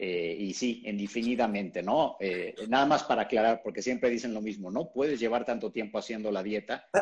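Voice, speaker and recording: With a Mexican accent, a man speaks with ordinary pitch variation. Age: 40s. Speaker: keto nutrition educator. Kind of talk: interview.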